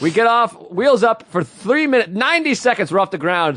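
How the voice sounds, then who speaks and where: A man talks in a Boston accent. His pitch swings very widely. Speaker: comedian. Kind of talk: casual chat. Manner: animated.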